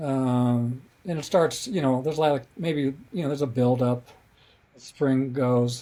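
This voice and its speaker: Speaking fairly slowly with an American accent, a man uses a dark, mellow tone at medium pitch with ordinary pitch variation. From US West, Colorado (Denver). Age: 70s. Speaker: author and playwright. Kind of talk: podcast interview. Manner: halting.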